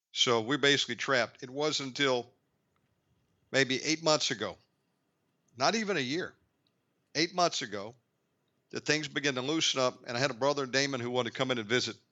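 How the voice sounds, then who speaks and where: A man talks at a fairly quick pace with a medium pitch and ordinary pitch variation. He leaves long, frequent pauses. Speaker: radio host. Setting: lives in Bali, Indonesia. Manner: articulate, natural interviewer.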